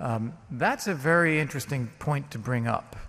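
Speaking with an American accent, a man keeps a fairly slow pace and lively intonation. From United States. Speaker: former diplomat, debater. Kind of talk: formal debate. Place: hall. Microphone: podium.

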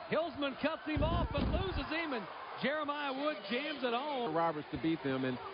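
Amid noticeable background noise, a man speaks in an animated tone, his pitch swinging very widely. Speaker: sports commentator. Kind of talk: live sports commentary. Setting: basketball arena broadcast. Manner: animated, rising on big plays.

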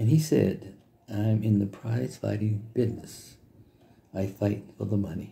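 Somewhat breathy and dark, mellow in tone, a man speaks at a fairly low pitch and moderate pace with fairly even intonation. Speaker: business vlogger. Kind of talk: motivational talk to camera. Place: home room. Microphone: phone near.

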